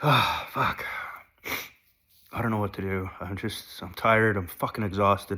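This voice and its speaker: A man speaks at a moderate pace. His tone is bright and sharp. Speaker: vlogger sharing personal recovery journey. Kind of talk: personal confessional monologue. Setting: sitting on the couch at home. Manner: halting, stuttering.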